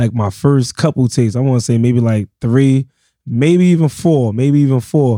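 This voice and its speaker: Dark and mellow in tone, a man speaks at a medium pitch and a moderate pace with ordinary pitch variation. His loudness stays very even, and the sound is dry and close with no echo. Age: 30s. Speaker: DJ. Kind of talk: casual chat.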